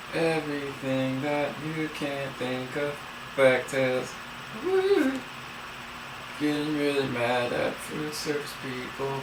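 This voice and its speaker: Music plays behind a man who speaks very slowly with fairly high pitch and long, frequent pauses. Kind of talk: casual talk to camera. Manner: playful, upbeat.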